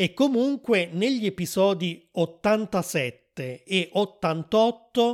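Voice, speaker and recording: A man talks on a very clean recording with a silent background. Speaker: podcast host and Italian teacher. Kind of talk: scripted monologue for language learners. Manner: clear, deliberate.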